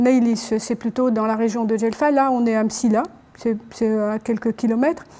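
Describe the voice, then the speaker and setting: A woman speaks at a fairly slow pace. Her loudness is very even and her intonation fairly even. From Algeria. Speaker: ethnomusicologist. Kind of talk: panel discussion. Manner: halting. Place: hall. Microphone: lapel.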